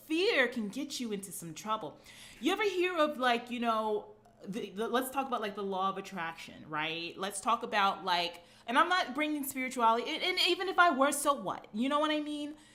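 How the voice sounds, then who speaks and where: A woman at a high pitch in an animated tone, fairly quick, with very wide pitch swings. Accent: Brooklyn. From New York (Brooklyn). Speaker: fitness coach. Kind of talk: live stream monologue. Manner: animated, casual.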